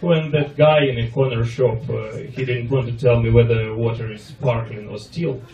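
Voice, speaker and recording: A man's medium-pitched voice in a Russian accent, with big swings in loudness, audible room echo and noticeable background noise. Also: fairly even intonation, moderate pace, hardly any pauses. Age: 30s. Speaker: comedian. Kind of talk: stand-up.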